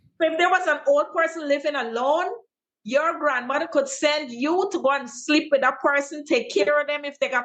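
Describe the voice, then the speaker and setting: High pitch from a woman, moderate pace and ordinary pitch variation. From Guyana. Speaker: teacher and content creator. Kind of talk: interview answer.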